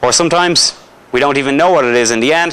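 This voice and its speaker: A man with an Irish accent, bright, sharp tone and lively intonation. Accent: Irish accent, noticeable. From Ireland. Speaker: paranormal investigator. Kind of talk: lecture. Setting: school hall with live audience. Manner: conversational, jokey with audience.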